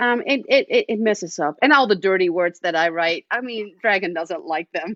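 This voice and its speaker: A slight Dutch accent at a moderate pace, with ordinary pitch variation. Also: woman, medium pitch for a woman. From Netherlands. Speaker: romance author. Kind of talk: casual interview chat.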